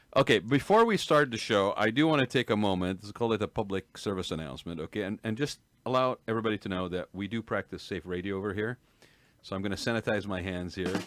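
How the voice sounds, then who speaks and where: A man talks at a very fast pace with a fairly low pitch, in a very clean recording with a silent background. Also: ordinary pitch variation. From Kuwait. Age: 60s. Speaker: radio host. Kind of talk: casual chat. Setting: studio.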